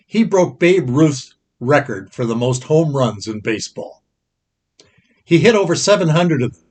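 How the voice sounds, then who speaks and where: The speech moves at a moderate pace with long, frequent pauses. The voice is somewhat breathy, with big swings in loudness and very wide pitch swings. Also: man, fairly high pitch for a man. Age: 80s+. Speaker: pastor. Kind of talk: Bible class teaching.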